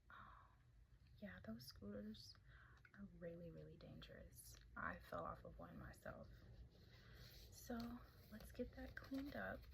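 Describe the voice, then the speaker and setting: A soft-spoken woman with a gentle tone talks at a fairly slow pace. She takes long, frequent pauses over noticeable background noise. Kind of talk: ASMR roleplay, caring medical helper. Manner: soft-spoken, gentle.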